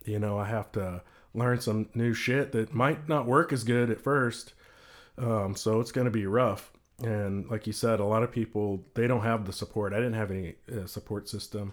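A man with an American accent speaks in a normal speaking voice at medium pitch and a moderate pace, with fairly even intonation. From Texas. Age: 40s. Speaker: CBD company owner. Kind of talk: casual chat.

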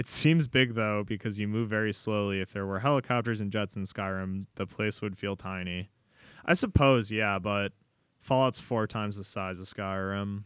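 At a moderate pace, a man speaks in an animated tone at a fairly low pitch. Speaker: podcast host. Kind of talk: casual banter. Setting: studio. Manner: animated, joking.

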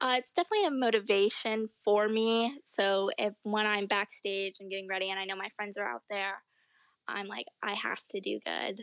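A woman with an American accent has a plain, everyday voice at medium pitch, ordinary pitch variation and a moderate pace, with a dry, close sound with no echo. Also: quiet background. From upstate New York. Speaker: professional cheerleader. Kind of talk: interview.

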